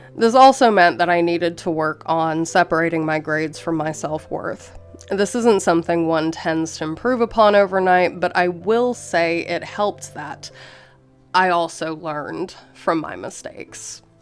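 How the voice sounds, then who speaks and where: A woman's fairly low-pitched voice at a moderate pace, with ordinary pitch variation and music in the background. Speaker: college student. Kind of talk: casual advice talk to camera.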